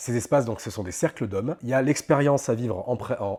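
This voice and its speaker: This man talks very fast at a medium pitch, with a dark, mellow tone and ordinary pitch variation. The recording is very clean, with a silent background. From France, Normandy (Caen). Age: 30s. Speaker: life coach. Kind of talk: interview monologue. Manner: hesitant, many fillers.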